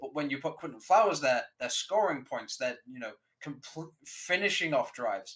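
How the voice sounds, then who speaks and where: With a British accent, a man speaks in a fairly high voice with lively intonation. His loudness swings widely. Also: moderate pace. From Britain. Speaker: sports podcast panelist. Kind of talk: sports talk show discussion.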